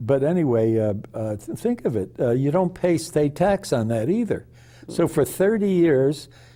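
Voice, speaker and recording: Moderate pace with very wide pitch swings. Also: man, fairly high pitch for a man. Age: 80s+. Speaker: retired chemist and author. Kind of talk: interview. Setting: television studio. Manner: halting, many restarts and fillers.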